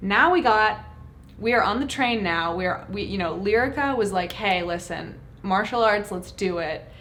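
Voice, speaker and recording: A woman speaks at a moderate pace and medium pitch with ordinary pitch variation. There is audible room echo and noticeable background noise. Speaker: YouTuber reacting to trailer. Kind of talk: trailer reaction commentary.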